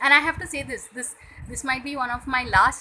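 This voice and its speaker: With a raised, projected voice, a woman speaks at a high pitch. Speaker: vlogger. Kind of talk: casual vlog to camera. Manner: hesitant, many fillers.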